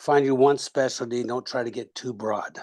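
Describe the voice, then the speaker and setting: A man talks at a very fast pace with medium pitch and fairly even intonation. The background is quiet. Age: 60s. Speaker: retired military officer and leadership coach. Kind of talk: webinar audience comment.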